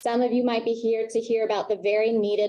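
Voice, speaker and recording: A woman with an American accent and a dark, mellow tone. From US Northeast, Long Island, New York. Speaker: NGO liaison and event moderator. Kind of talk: event welcome speech. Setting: conference room with audience, PA system. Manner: loud. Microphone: handheld mic, initially too quiet.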